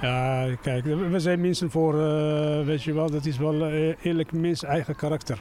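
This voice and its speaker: A man's voice sits fairly high in pitch as he talks at a fairly unhurried pace. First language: not Dutch (speaking Dutch). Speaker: resident interviewed on the street. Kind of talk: street interview. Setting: outdoors. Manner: halting.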